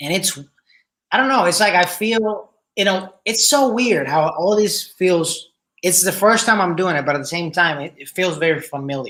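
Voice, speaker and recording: Moderately paced speech in a Spanish accent. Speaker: podcast host. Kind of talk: casual chat.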